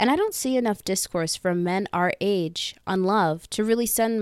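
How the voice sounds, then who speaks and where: A woman with an American accent and an unremarkable speaking voice, ordinary pitch variation and a moderate pace, in a very clean recording with a silent background and a dry, close sound with no echo. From US, Northern Virginia. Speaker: podcast host. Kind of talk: scripted monologue intro. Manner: upbeat, playful.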